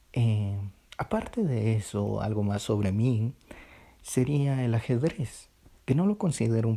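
Dark and mellow, a man's somewhat breathy voice moves at a fairly slow pace. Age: 20s. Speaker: student. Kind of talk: personal reflection monologue. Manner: hesitant, with filler sounds.

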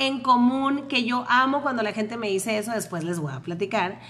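Against noticeable background noise, a woman with a high voice talks at a moderate pace in an animated tone. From Tijuana, Mexico (born in Panama). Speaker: podcast co-host. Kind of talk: casual chat.

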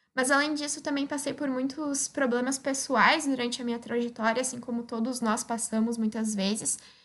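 A woman's high-pitched voice at a moderate pace with fairly even intonation. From Rio Grande do Sul, Brazil (Osório). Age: 20s. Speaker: young scientist. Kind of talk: personal testimony.

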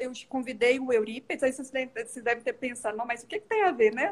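A woman with a high pitch and ordinary pitch variation. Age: 30s. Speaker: owner of a children's play space. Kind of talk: casual chat, interviewing on a livestream. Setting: live video stream.

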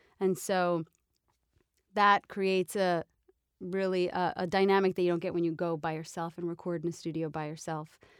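In a plain, everyday voice, a woman with an American accent talks at a fairly quick pace with a fairly low pitch and fairly even intonation, in a dry, close sound with no echo on a very clean recording with a silent background. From New York. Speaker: voice actor. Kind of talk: casual chat. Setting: studio.

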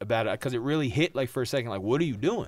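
The recording is very clean, with a silent background. A man with an American accent talks with lively intonation. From New Jersey. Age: 30s. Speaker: person in recovery sharing his story. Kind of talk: personal testimony in casual interview.

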